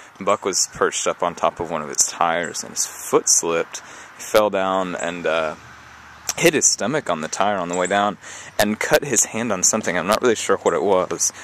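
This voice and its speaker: A man with an American accent at a fairly quick pace, ordinary pitch variation and noticeable background noise. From US South. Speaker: vlogger. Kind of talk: casual storytelling vlog. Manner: hesitant, many fillers.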